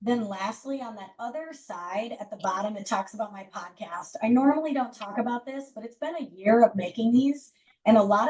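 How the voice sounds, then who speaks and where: The voice is loud, moving at a moderate pace with ordinary pitch variation. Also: woman. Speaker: culture coach. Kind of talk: group coaching session.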